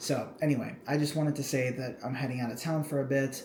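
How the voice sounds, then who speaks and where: With noticeable background noise and audible room echo, a man speaks at a medium pitch with fairly even intonation. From Cambodia. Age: 20s. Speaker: YouTuber. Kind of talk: casual vlog. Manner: casual, filler-heavy.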